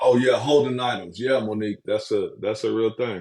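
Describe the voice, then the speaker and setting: In a quiet background, a man's speech moves at a moderate speed. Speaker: spiritual livestreamer. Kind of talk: live stream chat. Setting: livestream. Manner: animated.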